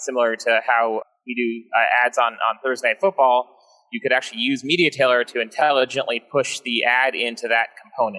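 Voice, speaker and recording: Speech comes at a fairly quick pace in a normal speaking voice with fairly even intonation. The sound is dry and close, with no echo. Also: man. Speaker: technical presenter. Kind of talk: technical demo explanation.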